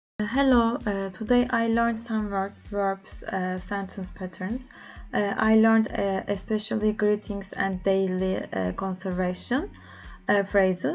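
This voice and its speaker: Speaking at a fairly slow pace, a woman with a Turkish accent keeps a medium pitch and fairly even intonation. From Turkey. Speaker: language learner. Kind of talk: video diary. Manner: halting, many filler sounds.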